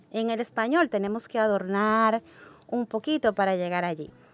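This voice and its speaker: The sound is dry and close with no echo. It carries a normal speaking voice at a moderate pace. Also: woman. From Dominican Republic. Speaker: English education coordinator. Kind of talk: podcast panel discussion.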